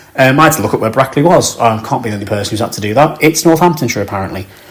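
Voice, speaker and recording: A man with a northern English accent at a very fast pace, ordinary pitch variation, and noticeable background noise. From northern England, Cheshire/Merseyside area. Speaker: football podcast host. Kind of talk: casual chat. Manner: casual, with fillers.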